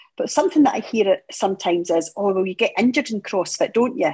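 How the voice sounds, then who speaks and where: Talking at a very fast pace, a woman in a Scottish accent has a fairly high, somewhat breathy voice. Her pitch swings very widely. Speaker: podcast host, CrossFit gym co-owner. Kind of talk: podcast conversation.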